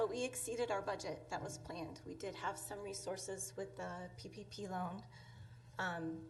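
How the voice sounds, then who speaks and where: A woman's fairly low voice with vocal fry and very wide pitch swings, at a moderate pace, with audible room echo. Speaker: tourism bureau director. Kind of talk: presentation to city council. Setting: city council meeting, microphone. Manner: soft-spoken.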